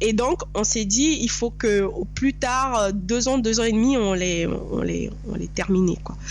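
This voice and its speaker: Noticeable background noise and audible room echo around a woman talking at a fairly slow pace. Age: 30s. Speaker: real estate investor. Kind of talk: interview.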